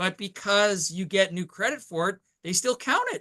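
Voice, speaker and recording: A man with a high pitch talks at a fairly quick pace in a raised, projected voice, animated in tone, with ordinary pitch variation and a dry, close sound with no echo. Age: 60s. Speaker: insurance and financial sales leader. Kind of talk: business training presentation.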